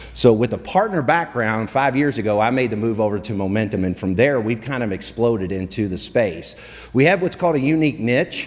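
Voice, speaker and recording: Lively intonation comes through as the words go by at a fairly quick pace. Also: man, medium pitch for a man. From Kentucky. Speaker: telecom sales executive. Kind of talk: business presentation. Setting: luncheon room with audience.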